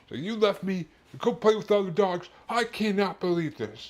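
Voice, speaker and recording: A man's put-on character voice, high-pitched and at a fairly quick pace. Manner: offended, accusing.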